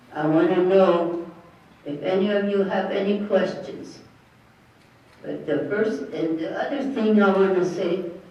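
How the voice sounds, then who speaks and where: The speech moves at a fairly slow pace with long, frequent pauses. Background noise is noticeable. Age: 80s+. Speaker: elder. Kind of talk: spiritual talk to an audience.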